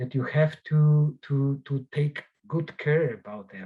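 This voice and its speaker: A man with a Polish accent speaks at a fairly slow pace. His tone is dark and mellow, and somewhat breathy. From Poland. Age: 60s. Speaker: journalist and author. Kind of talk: interview. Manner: halting.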